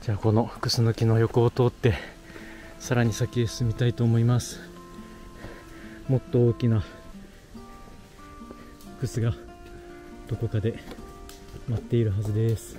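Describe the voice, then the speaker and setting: A man at a moderate pace with fairly even intonation and long, frequent pauses, over clear background music, in a dry sound with no echo. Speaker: hiker vlogger. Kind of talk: casual vlog chat. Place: forest. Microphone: phone near.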